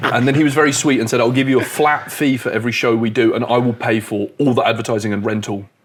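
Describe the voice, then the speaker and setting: A man with a British accent talks at a very fast pace in a medium-pitched voice, animated in tone and with hardly any pauses. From UK. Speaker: comedian. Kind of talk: casual chat.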